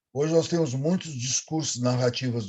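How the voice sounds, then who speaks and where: With a dark, mellow tone and a somewhat breathy quality, the man's medium-pitched voice shows ordinary pitch variation. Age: 70s. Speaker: professor. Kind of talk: lecture.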